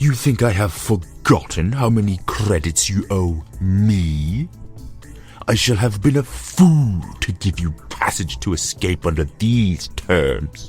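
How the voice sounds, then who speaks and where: A man's put-on character voice, very deep and low, at a fairly slow pace with clear music in the background. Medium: audio drama. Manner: haughty, formal.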